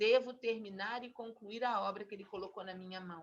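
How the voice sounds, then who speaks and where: A woman uses an ordinary speaking voice, talking at a fairly slow pace with ordinary pitch variation. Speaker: Bible teacher. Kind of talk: Bible study teaching.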